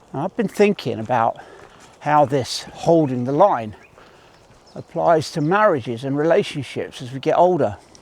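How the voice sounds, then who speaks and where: A man with an ordinary speaking voice talks at a moderate pace, his fairly high pitch carried by lively intonation and big swings in loudness. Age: 60s. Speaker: army veteran. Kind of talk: motivational talk to camera while walking. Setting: outdoors.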